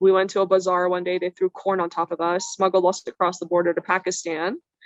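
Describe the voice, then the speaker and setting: Quick-paced and monotone with flat intonation, a woman with an American accent talks at a medium pitch. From Iran, raised in US from childhood. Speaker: plastic surgeon. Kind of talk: interview storytelling. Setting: podcast.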